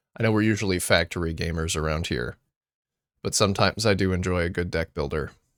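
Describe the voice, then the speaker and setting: A man's very deep, low voice at a fairly quick pace, with fairly even intonation, on a very clean recording with a silent background. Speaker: gaming streamer. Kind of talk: casual chat. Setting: live stream.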